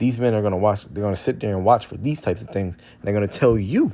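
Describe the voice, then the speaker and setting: A dark, mellow tone comes through in a very clean recording with a silent background. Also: man. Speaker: street preacher / religious commentator. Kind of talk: religious teaching with scripture reading. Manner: halting, many repetitions and fillers.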